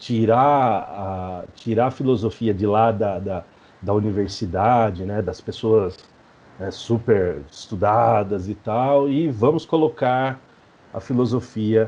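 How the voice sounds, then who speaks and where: A man speaks at a very slow pace with a São Paulo interior accent. His voice is fairly low, with a dark, mellow tone. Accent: caipira accent of inland São Paulo. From interior of São Paulo state, Brazil (Mairinque). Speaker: professor and researcher, podcaster. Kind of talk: interview. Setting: video call.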